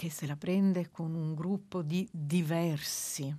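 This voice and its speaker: Over a quiet background, a woman speaks very slowly in a fairly low pitch with fairly even intonation. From Naples, southern Italy. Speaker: book editor and translation reviser. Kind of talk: radio interview. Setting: radio studio.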